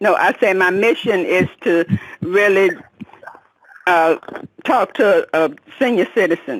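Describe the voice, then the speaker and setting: A woman speaks at a medium pitch with lively intonation. Her pace is fairly slow, with long, frequent pauses. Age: 60s. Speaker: caller. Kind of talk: testimony.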